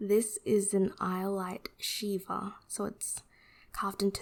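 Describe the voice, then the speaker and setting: The voice is soft-spoken, with a relaxed tone. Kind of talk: ASMR unboxing, casual talk to camera. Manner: soft-spoken, relaxed.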